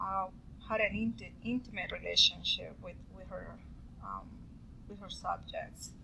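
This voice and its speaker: Noticeable background noise can be heard behind a woman's speech. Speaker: student. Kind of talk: class presentation. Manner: halting, with many fillers.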